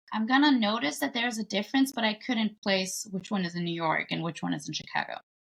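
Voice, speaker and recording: At a fairly quick pace, a woman talks in a fairly high pitch with ordinary pitch variation. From Germany, Bulgarian immigrant family. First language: Bulgarian. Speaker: singer, writer and actor. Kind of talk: podcast interview.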